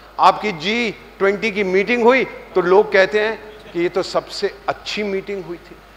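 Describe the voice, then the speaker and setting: With noticeable background noise behind him, a man speaks in a high voice whose loudness swings widely. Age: 70s. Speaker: diplomat and government advisor. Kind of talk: motivational talk to students. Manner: animated, joking.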